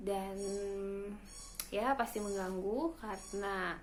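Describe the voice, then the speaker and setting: The woman's voice sits at a medium pitch and has ordinary pitch variation. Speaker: new mother. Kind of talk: casual talk to camera.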